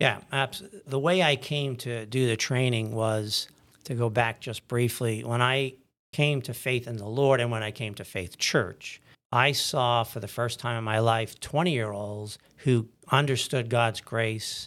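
A man with a normal speaking voice, fairly slow pace and fairly even intonation, on a very clean recording with a silent background. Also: medium pitch for a man. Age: 60s. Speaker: anesthesiologist and church deacon. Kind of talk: interview about faith journey.

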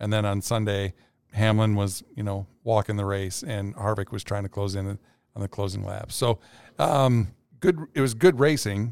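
Recorded very cleanly against a silent background, a man uses an unremarkable speaking voice at a fairly low pitch, with ordinary pitch variation and a moderate pace. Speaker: podcast co-host. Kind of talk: casual podcast conversation.

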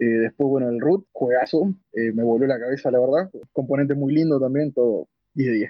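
With a Rioplatense accent, a man speaks at a moderate pace with very even loudness and ordinary pitch variation. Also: medium pitch for a man. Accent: Argentine Spanish (rioplatense). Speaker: board game café staff. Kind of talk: interview. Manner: hesitant, many fillers.

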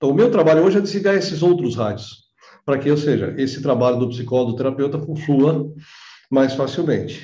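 A somewhat breathy voice with a dark, mellow tone moves at a fairly quick pace with ordinary pitch variation. Audible room echo surrounds it. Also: man, fairly high pitch for a man. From Brazil, São Bernardo (São Paulo area). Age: 50s. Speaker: holistic therapist. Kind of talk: interview.

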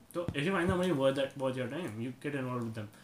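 A man talks in a normal speaking voice with lively intonation. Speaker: podcast host. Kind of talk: casual chat.

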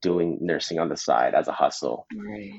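Against a quiet background, a man with a Canadian accent speaks at a fairly slow pace and a very deep, low pitch, in a dry, close sound with no echo. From Canada, Mississauga, Ontario. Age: 20s. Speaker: dancer and nurse. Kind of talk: casual chat.

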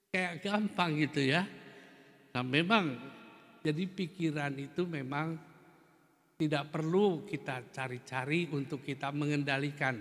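The speaker goes at a fairly slow pace with ordinary pitch variation and long, frequent pauses. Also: man, fairly high pitch for a man. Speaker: Buddhist teacher. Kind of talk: dharma talk. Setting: Buddhist temple. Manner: hesitant fillers at times.

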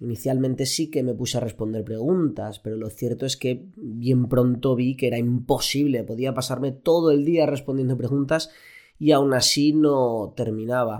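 In an unremarkable speaking voice of medium pitch, a man talks at a moderate pace with fairly even intonation. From Spain, Elche (Valencian region). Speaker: doctor, endocrinologist, podcast host. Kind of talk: solo podcast monologue. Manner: casual, with fillers and repetitions.

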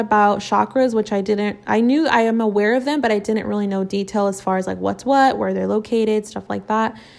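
The speaker is a woman with a fairly high pitch. Her voice shows ordinary pitch variation. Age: 20s. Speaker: podcast host. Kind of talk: casual chat. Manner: animated.

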